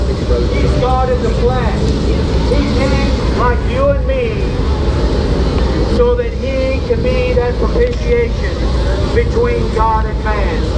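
Very slow speech comes through over loud background noise. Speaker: street preacher. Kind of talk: street preaching, loud sermon to passersby. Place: street. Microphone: pa.

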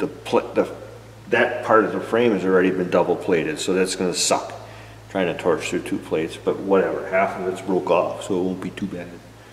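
Room echo is audible as a man speaks at a fairly quick pace over light background noise. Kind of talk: tutorial. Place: workshop. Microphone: camera far.

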